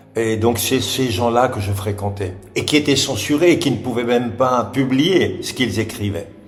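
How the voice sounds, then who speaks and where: A man talks at medium pitch and a moderate pace with ordinary pitch variation. Audible room echo and noticeable background noise surround him. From Catalonia, Spain (Barcelona). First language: Catalan (speaking French). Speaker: actor and stage director. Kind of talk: interview. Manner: hesitant, many fillers.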